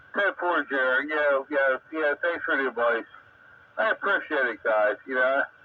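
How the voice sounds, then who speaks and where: A man with a fairly high voice talks at a moderate pace, his pitch varying in an ordinary way, while noticeable background noise runs underneath. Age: 60s. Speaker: radio amateur operator. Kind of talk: ham radio net chat. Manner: halting, many fillers.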